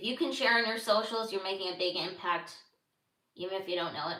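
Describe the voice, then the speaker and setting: Animated in tone and lively in intonation, a woman with an American accent speaks in a space with audible room echo. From Los Angeles, US. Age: 30s. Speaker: podcaster. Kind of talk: casual livestream chat. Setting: livestream. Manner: halting.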